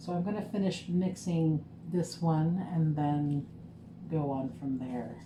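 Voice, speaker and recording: The speech moves at a very slow pace with ordinary pitch variation. Noticeable background noise and audible room echo are present. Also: woman, very deep, low pitch for a woman. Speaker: small business owner making lip gloss. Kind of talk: casual vlog tutorial. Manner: casual with fillers. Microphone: muffled by mask.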